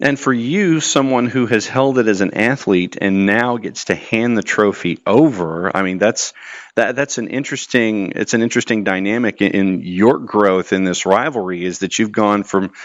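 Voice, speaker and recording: The pace stays moderate. An ordinary speaking voice, with ordinary pitch variation. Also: man. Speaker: podcast host / interviewer. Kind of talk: interview questions.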